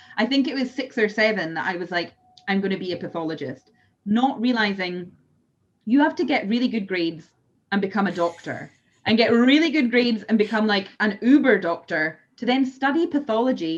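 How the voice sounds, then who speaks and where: A woman's fairly high, somewhat breathy voice with lively intonation at a fairly quick pace. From Scotland. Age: 30s. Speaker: whisky maker. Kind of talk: casual interview.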